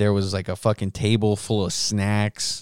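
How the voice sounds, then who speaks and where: A man speaks with a fairly low pitch. The recording is very clean, with a silent background and a dry, close sound with no echo. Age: 20s. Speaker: podcast host, musician. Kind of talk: casual solo monologue with heavy swearing. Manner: casual, rambling, profane.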